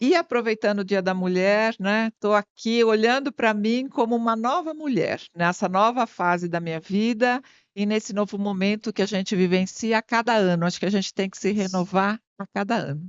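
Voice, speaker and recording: A woman with an ordinary speaking voice talks at a moderate pace and medium pitch, with ordinary pitch variation and hardly any pauses. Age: 60s. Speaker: marketing consultant and MBA teacher. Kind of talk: interview. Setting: studio.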